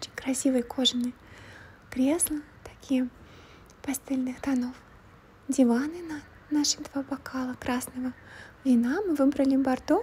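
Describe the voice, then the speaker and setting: Soft-spoken and relaxed in tone, a woman talks in a high voice at a fairly slow pace, with fairly even intonation and long, frequent pauses. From Switzerland (Russian speaker living there). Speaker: ASMR vlogger. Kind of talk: casual vlog talk to camera. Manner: quiet, soft-spoken, relaxed.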